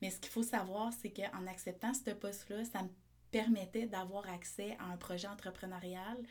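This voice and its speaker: A woman with a somewhat breathy, dark, mellow tone speaks fairly slowly at a medium pitch, keeping her intonation fairly even. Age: 30s. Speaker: entrepreneur and osteopath. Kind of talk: casual interview.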